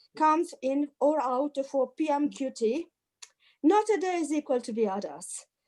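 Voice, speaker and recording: With an Italian accent, a woman speaks in a high voice with a dark, mellow tone and lively intonation. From Italy. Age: 50s. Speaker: activist. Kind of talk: testimony. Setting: video call.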